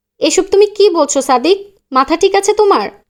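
This is a put-on character voice at an extremely high pitch. It sounds shaky and moves at a moderate pace.

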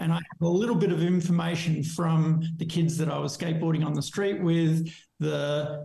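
A high-pitched man with a dark, mellow tone and monotone, flat intonation, in audible room echo against a quiet background. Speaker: podcast guest. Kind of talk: interview answer. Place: home room. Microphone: webcam.

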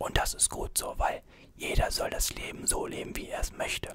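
Whispering throughout. The pace is moderate. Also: man. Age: 20s. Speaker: YouTuber and student; YouTuber. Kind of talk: ASMR Q&A video. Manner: soft-spoken. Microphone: studio mic.

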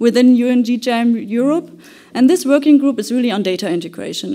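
A woman speaks with a high pitch at a fairly quick pace. The background is quiet. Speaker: conference presenter. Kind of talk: conference presentation. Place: hall.

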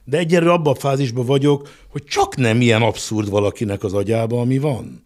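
Over a quiet background, a man speaks at a fairly quick pace with ordinary pitch variation. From Hungary. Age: 60s. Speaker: business executive; guest. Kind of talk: interview; interview answer. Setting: studio. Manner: halting. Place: studio. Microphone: studio mic.

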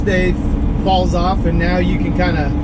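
The speech moves at a fairly slow pace over loud background noise. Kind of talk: casual vlog chat. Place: car. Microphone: camera far.

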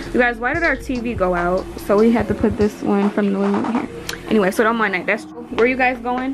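Clear music plays in the background. The speech comes at a very fast pace with ordinary pitch variation. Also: woman. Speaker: vlogger. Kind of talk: casual vlog chat.

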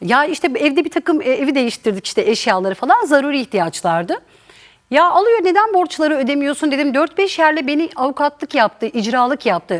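A woman speaks in a high pitch with very wide pitch swings. Her tone is animated and her pace moderate. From eastern Turkey (Erzincan family). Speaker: talk show guest. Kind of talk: testimony.

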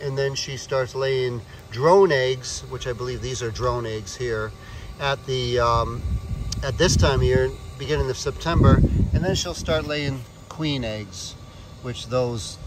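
Over loud background noise, a man talks at a fairly slow pace with ordinary pitch variation, the sound dry with no echo. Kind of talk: explanatory commentary. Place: open country. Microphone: phone near.

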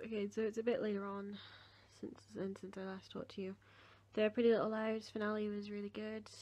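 Talking at a fairly quick pace, a woman with an English accent has a fairly high pitch and big swings in loudness. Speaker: vlogger. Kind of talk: vlog.

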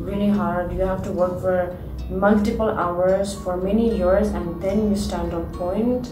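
A woman talks fairly slowly while music plays clearly behind her. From Nepal. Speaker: ballet dancer. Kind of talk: interview answer. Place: home room.

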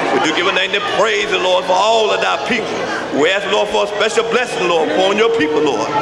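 Loud background noise surrounds a man who speaks at a fairly quick pace. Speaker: minister. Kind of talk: prayer. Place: hall. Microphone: podium.

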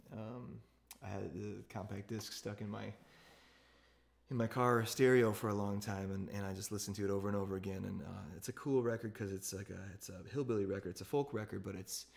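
Against a quiet background, a man speaks at a very fast pace. His voice is fairly low, with fairly even intonation. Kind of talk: casual talk to an online audience between songs. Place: home room. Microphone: phone near.

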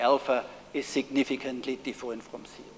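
With a German accent, a man is talking. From Germany. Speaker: professor. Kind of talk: lecture. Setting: stage with audience. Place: hall.

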